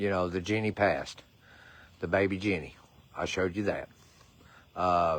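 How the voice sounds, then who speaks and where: In a Southern US accent, the speaker keeps a fairly even intonation and a moderate pace, with long, frequent pauses, on a very clean recording with a silent background. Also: man, very deep, low pitch for a man. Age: 60s. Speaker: horse rescuer. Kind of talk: livestream appeal.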